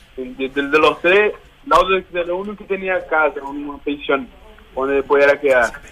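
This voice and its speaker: Noticeable background noise sits under a man's voice with a fairly high pitch. He talks at a moderate pace with ordinary pitch variation. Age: 20s. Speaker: footballer. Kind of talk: interview.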